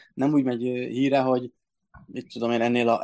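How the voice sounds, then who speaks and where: In a quiet background, a man delivers his words at a moderate pace and medium pitch, with monotone, flat intonation. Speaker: football blog co-editor. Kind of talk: casual sports discussion.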